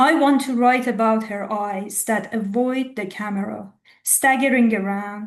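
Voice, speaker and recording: A woman with an Iranian accent speaks at a very slow pace, her pitch fairly high and her intonation fairly even. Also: quiet background. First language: Farsi. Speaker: poet. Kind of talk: poetry reading.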